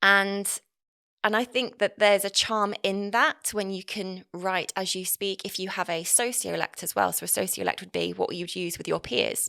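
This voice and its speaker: A woman with an East Midlands accent at a moderate pace, in a dry, close sound with no echo, on a very clean recording with a silent background. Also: big swings in loudness. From English Midlands, Nottinghamshire. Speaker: marketing and messaging consultant. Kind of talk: podcast interview.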